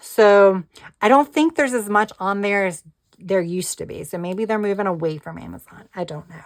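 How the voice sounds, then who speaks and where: Here a woman talks at a fairly quick pace in an unremarkable speaking voice. Her pitch is medium, with ordinary variation. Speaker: planner and crafting YouTuber. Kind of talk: casual product chat. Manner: casual with fillers.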